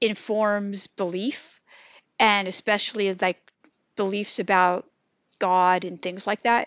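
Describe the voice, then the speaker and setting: An unremarkable speaking voice in an American accent at a fairly slow pace. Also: woman. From California. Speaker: religious studies professor. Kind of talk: interview.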